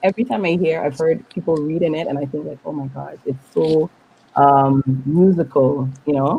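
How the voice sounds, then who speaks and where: A woman with a Dutch Caribbean accent, very deep and low in pitch, at a moderate pace with ordinary pitch variation. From Dutch Caribbean (Saba, St. Maarten). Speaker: poet and writer. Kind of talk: interview.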